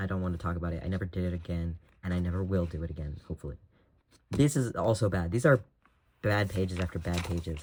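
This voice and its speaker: A soft-spoken man, very deep and low in pitch, at a very fast pace. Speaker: artist. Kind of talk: casual chat. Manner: halting.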